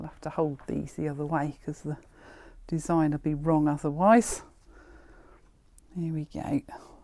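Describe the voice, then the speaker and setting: Very deep and low in pitch, a woman speaks at a moderate pace with fairly even intonation, big swings in loudness and long, frequent pauses, in a very clean recording with a silent background. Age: 60s. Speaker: haberdashery shop owner. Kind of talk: product showcase video. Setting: in a shop. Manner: casual, chatty.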